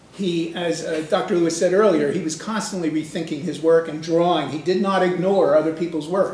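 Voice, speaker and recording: A man at a fairly high pitch and very fast pace, with fairly even intonation, audible room echo and noticeable background noise. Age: old. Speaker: retired professor lecturing at a conference. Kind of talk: lecture. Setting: conference room with audience.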